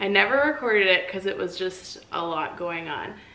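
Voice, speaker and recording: A woman's medium-pitched voice with ordinary pitch variation, noticeable background noise and audible room echo. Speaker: farm wife vlogger. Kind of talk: casual vlog narration. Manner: loud; chatty.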